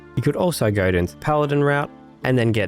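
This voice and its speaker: Over music in the background, a man speaks at a fairly quick pace with very wide pitch swings. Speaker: gaming YouTuber. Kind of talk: game commentary voiceover.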